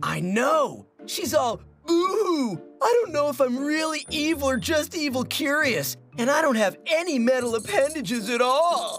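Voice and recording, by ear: Faint music plays in the background behind a cartoonish character voice. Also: moderate pace.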